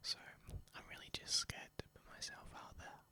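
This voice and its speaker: A man speaks in a whisper. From Spain. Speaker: ASMR youtuber. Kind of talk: ASMR rambling. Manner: soft-spoken; halting.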